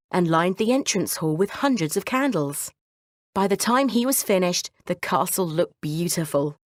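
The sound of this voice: In an unforced reading voice, the speaker uses lively intonation over a quiet background.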